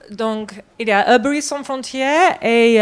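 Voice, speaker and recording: The speaker has a non-native accent and talks at a very slow pace. The intonation is lively. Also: woman. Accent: foreign accent in French. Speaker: herbalist, network coordinator. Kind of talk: conference talk. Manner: halting.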